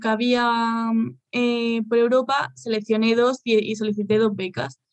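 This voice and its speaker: Her fairly high pitch held in monotone, flat intonation, a woman speaks at a very slow pace. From Spain. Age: 20s. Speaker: pharmaceutical researcher, PhD student. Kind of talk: interview. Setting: video call.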